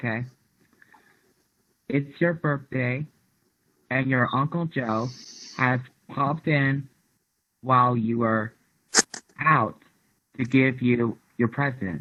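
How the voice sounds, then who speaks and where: A man with a bright, sharp tone and medium pitch speaks very slowly with fairly even intonation. Long pauses come often. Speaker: student. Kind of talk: reading aloud. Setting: video call. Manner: soft-spoken; quiet.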